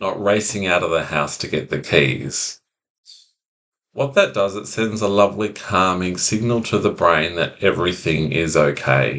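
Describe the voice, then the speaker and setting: Speaking at a moderate pace, a man with a very deep, low pitch shows vocal fry and ordinary pitch variation. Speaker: anxiety recovery coach. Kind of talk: self-help talk to camera. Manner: calm.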